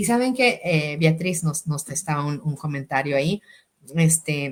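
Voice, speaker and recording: A woman speaks with a very deep, low pitch and lively intonation. Her voice is somewhat breathy and her pace fairly slow. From Mexico, Sonora. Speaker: educator and language school director hosting podcast. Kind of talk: interview. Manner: hesitant, many fillers and repetitions.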